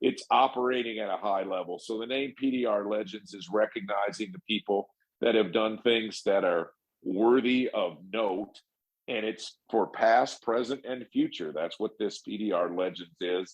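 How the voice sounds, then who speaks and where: A plain, everyday voice from a man, fairly low in pitch, at a moderate pace with ordinary pitch variation. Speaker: paintless dent repair technician and trainer. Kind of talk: podcast conversation.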